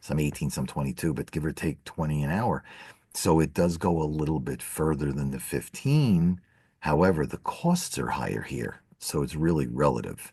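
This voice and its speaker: Over a quiet background, a man speaks with a very deep, low pitch and a dark, mellow tone. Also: ordinary pitch variation, moderate pace. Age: 60s. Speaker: financial advisor, podcast co-host. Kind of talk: casual chat.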